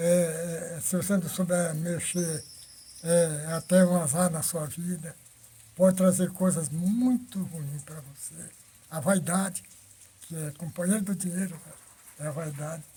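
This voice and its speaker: Man with a high voice at a fairly slow pace, long, frequent pauses, and big swings in loudness. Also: fairly even intonation. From northern Brazil, Roraima (Normandia area). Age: 90s. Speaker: elderly pioneer interviewee. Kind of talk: life-story interview.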